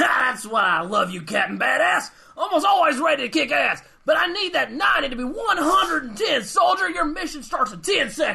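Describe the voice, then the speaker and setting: The pace is moderate. A high-pitched, put-on character voice does the talking. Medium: audio drama. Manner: loud, barking, bombastic.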